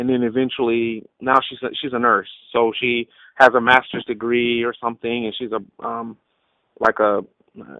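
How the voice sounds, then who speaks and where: Monotone and flat, a medium-pitched man speaks with an American accent while his loudness swings widely. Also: moderate pace. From Texas (Killeen, military town). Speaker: cartoonist and illustrator. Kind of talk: podcast interview. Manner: casual, many fillers.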